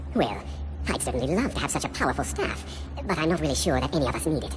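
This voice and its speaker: Over loud background music, a put-on character voice rattles along at a very fast pace. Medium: video game. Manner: hesitant, stammering.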